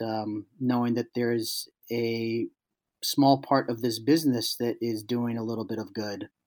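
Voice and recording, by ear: Speaking at a fairly slow pace with an American accent, a man keeps his pitch mostly level and has a slightly mellow tone.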